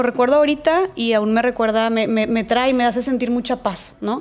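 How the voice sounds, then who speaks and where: Her pitch high, a woman talks at a moderate pace. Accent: northern Mexican. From northern Mexico, Monterrey. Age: 20s. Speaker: podcaster and speaker. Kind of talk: interview conversation. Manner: casual, many filler words.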